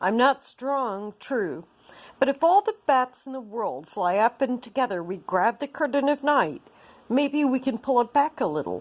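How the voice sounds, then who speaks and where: The speaker uses a squeaky, put-on character voice at a moderate pace, in a very clean recording with a silent background. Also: woman, high pitch for a woman. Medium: read story.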